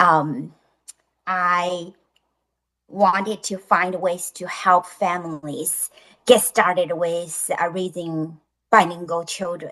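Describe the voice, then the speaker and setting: A woman with a Chinese accent speaks very slowly in a fairly low, bright, sharp voice with fairly even intonation, big swings in loudness, and long, frequent pauses. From China. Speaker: author and bilingual education specialist. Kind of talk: interview. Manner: halting, many fillers.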